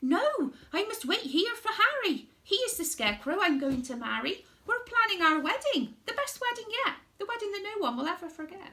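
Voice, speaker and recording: A woman uses a put-on character voice that is squeaky and extremely high in pitch. Her pitch swings very widely at a moderate pace. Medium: read story.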